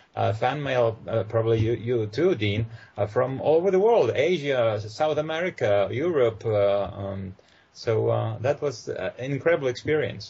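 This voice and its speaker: Somewhat breathy, a man with a Polish accent speaks at a moderate pace. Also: medium pitch for a man. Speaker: actor. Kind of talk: casual chat. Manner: halting, many fillers.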